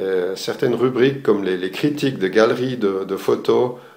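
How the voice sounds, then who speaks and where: A man talks fairly slowly with ordinary pitch variation, his voice carrying audible room echo. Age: 60s. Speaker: retired architect, amateur photographer giving course review. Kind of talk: video testimonial. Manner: halting, many hesitations.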